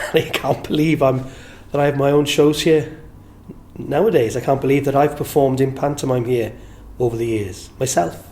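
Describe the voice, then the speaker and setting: With a South Wales accent, a man talks at a moderate pace and a fairly high pitch with ordinary pitch variation, over noticeable background noise. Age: 60s. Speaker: entertainer and singer. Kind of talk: interview reminiscence. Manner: warm, halting with repetitions.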